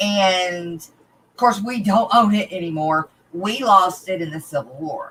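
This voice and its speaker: A woman speaks in an Arklatex accent at a fairly slow pace with medium pitch. Her intonation is lively, and her loudness swings widely. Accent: Texas-like Arklatex. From northern Louisiana (Arklatex area). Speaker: aquarium fish breeder and YouTuber. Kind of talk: casual interview chat. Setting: live stream video interview.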